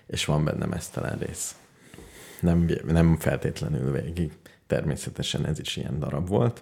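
Over noticeable background noise, a man talks at a fairly slow pace. His pitch is very deep and low. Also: ordinary pitch variation. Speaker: radio show co-host. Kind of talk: casual chat.

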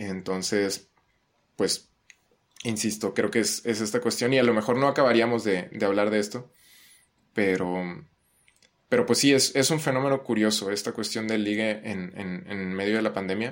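Pausing long and often, a man speaks at a moderate pace and a fairly low pitch with ordinary pitch variation. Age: 20s. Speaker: psychology student. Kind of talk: casual chat.

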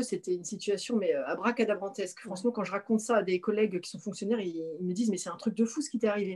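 With noticeable background noise, a woman talks at a very fast pace in a medium pitch and fairly even intonation. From Paris region, France. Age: 40s. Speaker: naturopath, former civil servant. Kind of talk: personal testimony in interview. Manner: halting, many repetitions.

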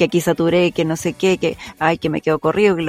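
A woman talks in a normal speaking voice at a fairly quick pace. Her pitch is fairly low and her intonation fairly even. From Chile, Santiago (Maipú). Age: 30s. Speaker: voice actress. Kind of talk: casual chat.

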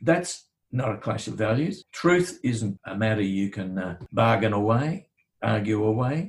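A man's somewhat breathy voice with lively intonation at a fairly slow pace. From Australia. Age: 70s. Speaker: barrister and former attorney general. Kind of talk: interview.

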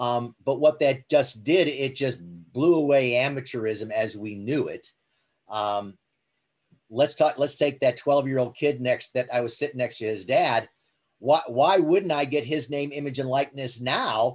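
A man with an ordinary speaking voice talks at a fairly slow pace. His pitch is medium, with ordinary variation. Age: 60s. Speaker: sports business executive. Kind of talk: interview.

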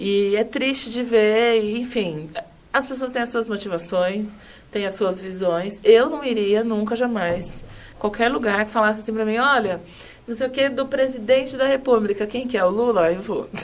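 Amid noticeable background noise, a woman speaks at a moderate pace in a fairly high pitch with ordinary pitch variation. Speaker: HR consultant and company CEO. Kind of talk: casual interview chat.

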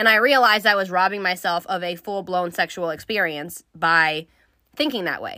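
On a very clean recording with a silent background, a woman with an animated tone and a bright, sharp sound speaks at medium pitch and moderate pace with ordinary pitch variation. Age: 30s. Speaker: solo podcast host. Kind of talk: casual monologue. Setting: studio. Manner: animated, frequent laughing.

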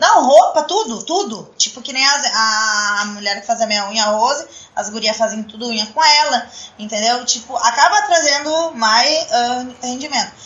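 A woman's high-pitched voice with lively intonation, at a moderate pace, over noticeable background noise. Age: 20s. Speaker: adult entertainment business owner. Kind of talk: casual chat. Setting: live-streamed podcast studio.

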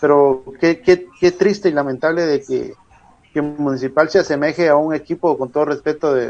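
Using an ordinary speaking voice, a man talks at a fairly high pitch and a moderate pace with fairly even intonation. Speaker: football pundit. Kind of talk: casual chat.

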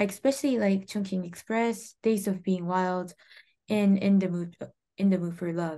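Over a quiet background, a woman with a dark, mellow tone speaks at a very slow pace in a medium pitch with ordinary pitch variation. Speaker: interpreter. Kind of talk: interview interpreting. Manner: halting.

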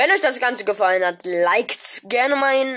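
Her tone animated, a woman speaks at a moderate pace with ordinary pitch variation. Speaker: gaming podcast host. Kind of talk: casual commentary reading out app reviews.

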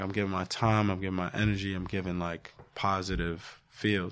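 Captured in a very clean recording with a silent background, a man with an unremarkable speaking voice talks at a fairly low pitch and a fairly quick pace, with ordinary pitch variation. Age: 30s. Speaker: podcast host and mental health advocate. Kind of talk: casual chat.

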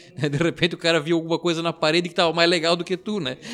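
With music playing in the background, a man talks in a fairly high pitch. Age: 30s. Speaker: rock bassist. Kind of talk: interview. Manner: halting.

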